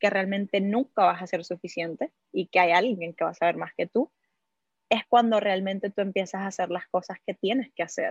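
Somewhat breathy, a woman speaks in a Venezuelan accent with ordinary pitch variation. The sound is dry and close, with no echo. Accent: Venezuelan-sounding Spanish. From Cuba. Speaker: entrepreneur and investor. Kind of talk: interview.

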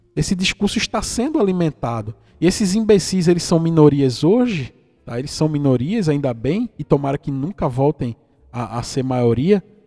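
With music in the background, a man at a fairly high pitch talks at a moderate pace in an animated tone with very wide pitch swings. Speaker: podcast host. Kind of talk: casual commentary monologue. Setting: at home. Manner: animated, indignant.

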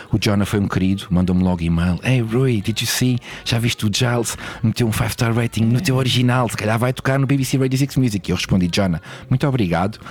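Amid noticeable background noise, a man talks at a fairly quick pace and medium pitch, his loudness very even and his pitch variation ordinary. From Portugal, Lisbon. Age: 40s. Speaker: DJ and record label owner. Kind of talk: casual interview.

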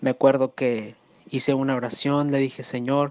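A man speaks in a monotone with flat intonation. The sound is dry and close, with no echo. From Mexico, San Luis Potosí. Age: 30s. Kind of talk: testimony.

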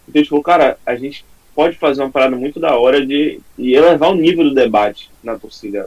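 A man's fairly high voice, a normal speaking voice, with lively intonation at a moderate pace. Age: young. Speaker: fan channel creator. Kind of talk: casual chat.

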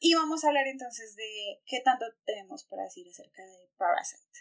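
A woman is talking. Her pace is moderate. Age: 20s. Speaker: podcast host. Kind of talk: casual chat.

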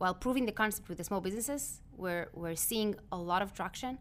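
A normal speaking voice comes from a woman at a medium pitch. She talks at a moderate pace with lively intonation. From Israel, moved to New York at twelve. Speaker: entrepreneur. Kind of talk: interview.

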